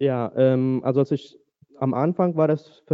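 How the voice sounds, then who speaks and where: The voice is an ordinary speaking voice. Its intonation stays fairly even. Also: man. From Paraguay, German-speaking Mennonite community. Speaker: church member sharing faith story. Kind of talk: testimony interview.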